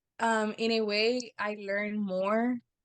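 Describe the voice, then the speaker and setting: A woman speaks at a medium pitch. She talks with a Spanish accent. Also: quiet background. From Texas border region, Brownsville. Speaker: university alumna. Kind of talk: casual interview. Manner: hesitant, many fillers.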